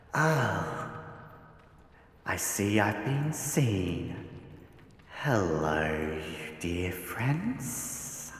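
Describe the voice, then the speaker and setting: In a put-on character voice, the low-pitched speaker goes at a very slow pace with long, frequent pauses, and the recording has a clear echo. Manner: playful, teasing.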